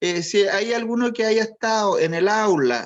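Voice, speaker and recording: A man speaks in a high voice with a Chilean accent. The background is quiet. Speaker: college teacher. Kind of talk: online class, roll call.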